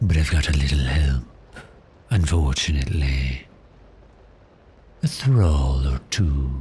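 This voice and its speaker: A put-on character voice from a man, very deep and low, at a fairly slow pace. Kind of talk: ASMR roleplay. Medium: solo performance. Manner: smooth, teasing, seductive.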